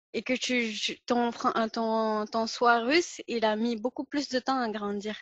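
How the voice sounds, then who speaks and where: A woman's fairly high voice moves at a very slow pace, its intonation fairly even. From Pakistan. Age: 20s. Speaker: podcast host. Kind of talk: casual interview conversation.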